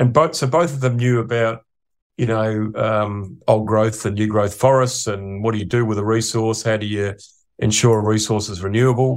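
Against a silent background in a very clean recording, a man with an Australian accent speaks at a moderate pace in a fairly low voice with fairly even intonation. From Australia, Adelaide. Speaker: economist. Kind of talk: casual interview.

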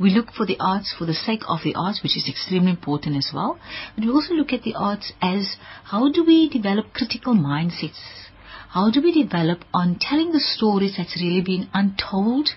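This voice moves at a fairly quick pace with very wide pitch swings over noticeable background noise. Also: woman, medium pitch for a woman. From South Africa, Wellington, Western Cape. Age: 40s. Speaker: arts administrator. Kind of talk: radio interview. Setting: studio.

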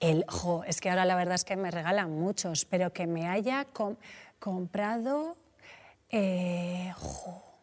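A woman speaks at a medium pitch for a woman. Her pace is very slow, with ordinary pitch variation. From Spain, Mediterranean coast. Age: 40s. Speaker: entrepreneur. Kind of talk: casual chat.

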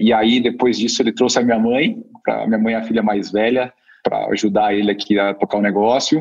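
In a normal speaking voice, a man talks at a fairly quick pace with a medium pitch and fairly even intonation. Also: very even loudness. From Curitiba, Brazil. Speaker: startup co-founder and executive. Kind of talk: interview.

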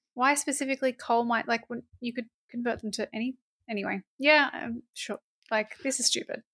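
Fairly quick and high-pitched, a woman with an Australian accent uses a bright, sharp tone and fairly even intonation. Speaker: podcast co-host. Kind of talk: casual chat.

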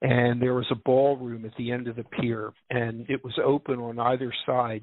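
A normal speaking voice from a man with an American accent, medium in pitch, at a fairly slow pace. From US Northeast, Philadelphia. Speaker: musician and music therapy trainer. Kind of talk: casual interview. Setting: live radio show with call-ins.

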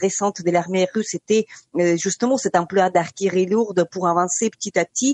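Heard in a dry, close sound with no echo, a woman with an unremarkable speaking voice talks at a moderate pace with fairly even intonation. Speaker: journalist. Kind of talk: radio interview.

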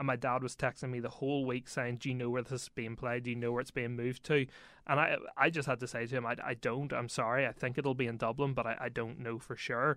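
A man with a Northern Irish accent speaks very fast at a medium pitch, in a monotone, flat intonation. His tone is bright and sharp over a quiet background. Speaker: sports reporter. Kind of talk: casual chat.

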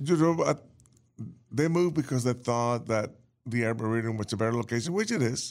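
A man with an American accent, medium pitch and ordinary pitch variation, at a fairly quick pace broken by long, frequent pauses. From New Orleans, US South. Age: 60s. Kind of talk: casual interview.

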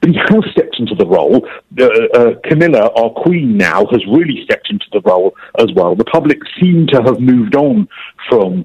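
A man with a London accent talks at a fairly quick pace. The sound is dry and close, with no echo. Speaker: TV presenter and royal commentator. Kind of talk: interview.

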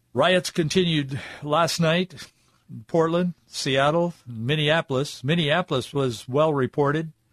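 Here is a man with an unremarkable speaking voice, a fairly high pitch and fairly even intonation. He goes at a fairly slow pace with very even loudness, in a dry, close sound with no echo. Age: 40s. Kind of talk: radio commentary monologue.

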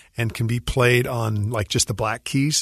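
This man's voice is somewhat breathy, with ordinary pitch variation at a moderate pace. The sound is dry and close, with no echo. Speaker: musician and composer. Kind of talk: radio interview. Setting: radio studio.

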